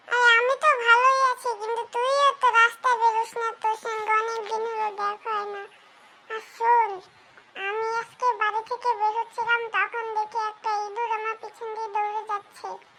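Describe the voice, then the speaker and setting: A cartoonish character voice at an extremely high pitch speaks in a flat monotone at a moderate pace. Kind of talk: comic overacting. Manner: exaggerated comic cartoon delivery.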